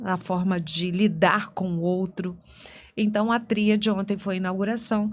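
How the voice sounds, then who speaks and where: A woman with an unremarkable speaking voice talks at a fairly slow pace, medium pitch, and fairly even intonation. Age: 60s. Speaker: lawyer and author. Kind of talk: podcast interview.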